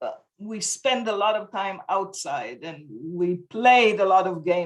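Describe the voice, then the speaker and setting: A woman speaks at a medium pitch and a moderate pace with an Israeli accent. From Israel (kibbutz). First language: Hebrew. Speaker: homeschooling parent. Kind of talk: interview. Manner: halting.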